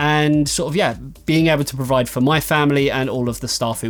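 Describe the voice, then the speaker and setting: A man with an English accent, medium pitch and fairly even intonation at a fairly quick pace, with music in the background. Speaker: tech reviewer and website owner. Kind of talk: Q&A vlog. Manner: casual, filler-heavy.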